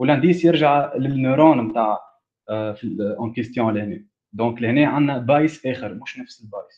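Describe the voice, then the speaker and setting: A man's medium-pitched voice with ordinary pitch variation and big swings in loudness, set against a quiet background. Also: moderate pace. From Tunisia. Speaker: student giving a technical talk; presenter. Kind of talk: lecture. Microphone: video call.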